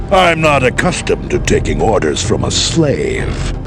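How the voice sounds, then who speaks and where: A man performs a cartoonish character voice at a moderate pace. Loud background noise fills the recording. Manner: measured, gravely authoritative.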